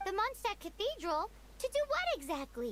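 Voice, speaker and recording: An extremely high-pitched, put-on character voice talks at a moderate pace over clear background noise. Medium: video game. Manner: excitable, inquisitive.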